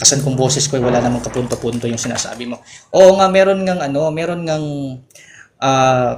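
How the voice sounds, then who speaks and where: This man talks fairly quickly, his fairly high voice showing ordinary pitch variation. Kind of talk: heated debate. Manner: fast, repetitive, interrupting.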